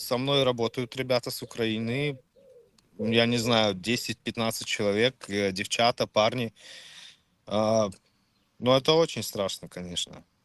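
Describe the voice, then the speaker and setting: A man's medium-pitched voice at a very slow pace, with long, frequent pauses, a dry, close sound with no echo, and a quiet background. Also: fairly even intonation. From Czech Republic. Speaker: chat stranger. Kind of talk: casual chat.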